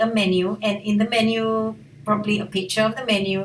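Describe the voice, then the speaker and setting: At a moderate pace, a woman talks with a fairly high pitch and fairly even intonation. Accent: Malaysian. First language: Malay. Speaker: language teacher. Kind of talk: tutorial.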